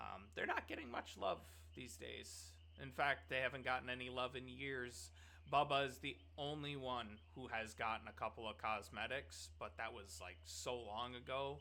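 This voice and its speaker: This man's voice sits fairly low and carries vocal fry with a bright, sharp tone. He moves at a moderate pace, and his pitch swings very widely. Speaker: gaming content creator. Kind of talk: casual unscripted commentary. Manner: casual, conversational with fillers.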